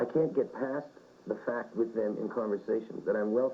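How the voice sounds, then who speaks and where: With a Canadian accent, this unremarkable speaking voice moves at a fairly quick pace with ordinary pitch variation. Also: man. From Winnipeg, Canada. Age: 30s. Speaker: rock singer. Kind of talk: interview answer. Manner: casual, reflective.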